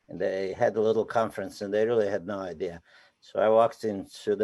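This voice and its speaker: With a Romanian accent, a man speaks fairly quickly in a fairly low, dark, mellow voice. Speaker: poet and novelist. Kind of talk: live interview. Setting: live event.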